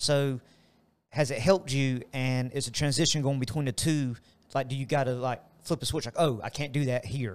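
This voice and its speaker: This man has a plain, everyday voice, pitched at a medium level, with fairly even intonation and a moderate pace. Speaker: gym coach and co-host. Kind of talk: casual podcast chat.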